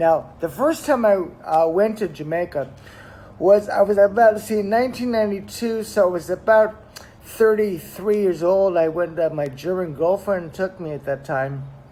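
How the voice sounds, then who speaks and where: A man with an American accent talks at a moderate pace. His pitch is high, with ordinary variation. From US West Coast, Los Angeles. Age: 60s. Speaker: travel vlogger. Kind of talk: casual vlog monologue. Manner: animated; halting.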